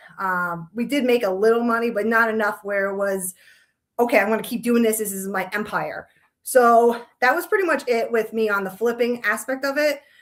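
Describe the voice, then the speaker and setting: Ordinary pitch variation accompanies a fairly quick pace. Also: woman, fairly high pitch for a woman. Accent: strong Long Island. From New York, Long Island. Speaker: realtor. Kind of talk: casual interview.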